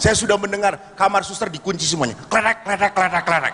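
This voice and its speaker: Over noticeable background noise, a man with a high pitch speaks in a raised, projected voice at a fairly quick pace with an animated tone. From Bandung, West Java. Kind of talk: religious talk to congregation. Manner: animated, humorous storytelling.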